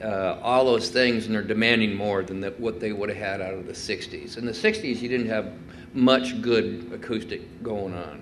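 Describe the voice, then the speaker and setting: Audible room echo accompanies speech with fairly even intonation. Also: man, fairly low pitch for a man, moderate pace. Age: 60s. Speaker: guitar maker. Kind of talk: talk with audience Q&A. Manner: hesitant, many fillers.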